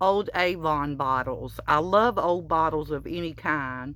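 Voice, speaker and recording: In a Southern US accent, a woman speaks at a very slow pace with a fairly low pitch. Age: 60s. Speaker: crochet vlogger. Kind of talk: casual room tour. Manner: halting, many fillers.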